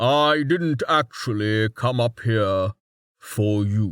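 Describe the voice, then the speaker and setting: This is a man doing a put-on character voice at a medium pitch and a very slow pace. The recording is very clean, with a silent background. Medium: read story. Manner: blunt, curt.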